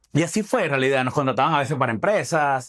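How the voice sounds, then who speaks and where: In a Venezuelan accent, a man talks with lively intonation. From Falcón, Venezuela. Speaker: stand-up comedian; lawyer. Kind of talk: interview answer.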